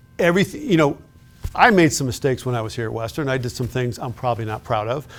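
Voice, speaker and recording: Talking at a very fast pace with an American accent, a man holds a medium pitch with ordinary pitch variation. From Chicago south suburbs, Illinois. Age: 60s. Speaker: retired law enforcement official. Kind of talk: interview.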